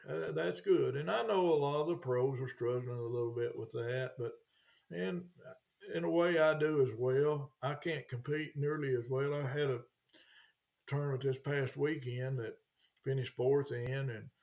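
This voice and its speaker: A somewhat breathy man's voice with ordinary pitch variation. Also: medium pitch for a man, moderate pace. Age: 70s. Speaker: retired bass tournament director. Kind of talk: podcast interview.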